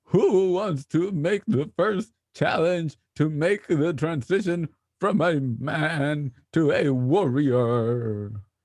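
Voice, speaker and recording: This man's delivery is very slow. He uses a put-on character voice pitched fairly high. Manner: solemn, commanding.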